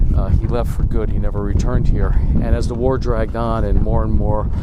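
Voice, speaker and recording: A quiet man's voice at a moderate pace, with audible room echo and noticeable background noise. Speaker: history video host. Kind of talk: on-location history vlog. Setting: outdoors at a cemetery. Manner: quiet, subdued.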